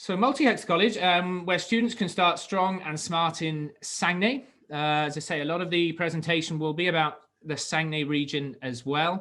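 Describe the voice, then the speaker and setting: Someone with a British accent and a bright, sharp tone speaks at a moderate pace with ordinary pitch variation. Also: man, high pitch for a man. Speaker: college teacher and international program coordinator. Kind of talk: webinar presentation. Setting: video call webinar. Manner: hesitant, many fillers and repeated words.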